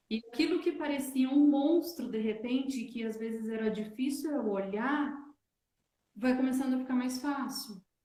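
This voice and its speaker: A woman's high-pitched voice proceeds at a moderate pace. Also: ordinary pitch variation. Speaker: wellness teacher. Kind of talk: online live talk. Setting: livestream.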